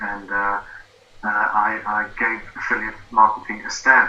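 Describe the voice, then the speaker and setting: A man talks with a South African accent. Music plays in the background, and room echo is audible. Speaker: former engineer, affiliate marketing student. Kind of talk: interview.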